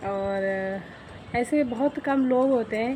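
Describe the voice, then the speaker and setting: Intonation stays fairly even as the words come out very slowly. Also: woman. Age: 20s. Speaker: vlogger. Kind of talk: casual vlog talk. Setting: outdoors on a walk.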